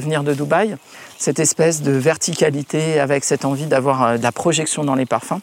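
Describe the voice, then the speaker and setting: A man speaks at a moderate pace. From Paris. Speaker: perfumer. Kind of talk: interview. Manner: halting.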